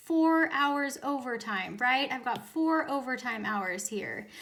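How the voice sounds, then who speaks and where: A woman's high, bright, sharp voice, animated and raised to project, at a fairly slow pace. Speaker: teacher. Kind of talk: tutorial.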